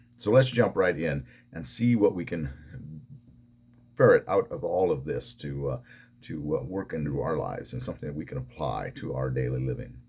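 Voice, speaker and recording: At a moderate pace, a man with a very deep, low pitch and vocal fry speaks with lively intonation. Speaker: pastor. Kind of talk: devotional Bible teaching.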